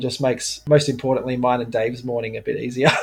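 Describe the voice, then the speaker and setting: Fairly even in intonation and somewhat breathy, a man's medium-pitched voice comes through in an Australian accent. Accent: general Australian. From Melbourne, Australia (south-east suburbs). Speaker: pinball bar owner and tournament organiser. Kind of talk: casual chat.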